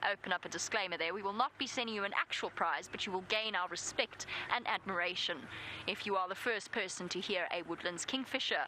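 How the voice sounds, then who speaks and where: A woman talks at a fairly quick pace in a South African accent. Her pitch sits in the medium range. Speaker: safari guide presenter. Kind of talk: live safari commentary. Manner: casual, self-deprecating.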